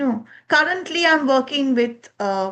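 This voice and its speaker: Here a woman speaks with a Bengali accent. Her pace is very slow. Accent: Bengali Indian English. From eastern India, Bengal. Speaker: communication skills trainer. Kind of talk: lecture.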